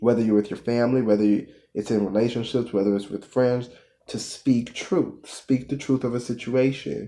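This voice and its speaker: With an American accent, the voice has a dark, mellow tone and fairly even intonation. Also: man, medium pitch for a man, moderate pace. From United States. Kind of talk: motivational talk to camera. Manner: casual.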